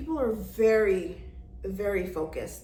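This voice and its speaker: With audible room echo, a woman in an American accent speaks at a fairly slow pace. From New York. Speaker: travel vlogger. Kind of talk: casual vlog talk. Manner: loud.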